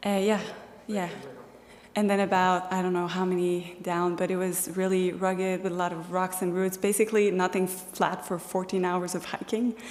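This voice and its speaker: Speaking at a moderate pace in a medium pitch, a woman with a French accent is heard over noticeable background noise. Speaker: hiker. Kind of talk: slideshow presentation.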